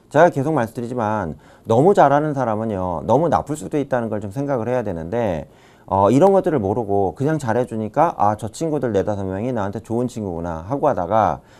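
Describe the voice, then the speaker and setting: With lively intonation and a dark, mellow tone at medium pitch, a man talks very fast in a very clean recording with a silent background. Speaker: professor. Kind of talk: lecture.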